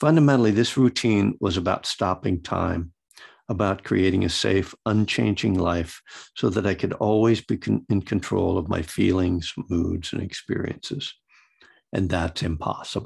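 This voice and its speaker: Very deep, low-pitched man's voice with vocal fry at a moderate pace over a quiet background. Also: ordinary pitch variation. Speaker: Buddhist meditation teacher and recovery author. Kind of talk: dharma talk with reading from own book.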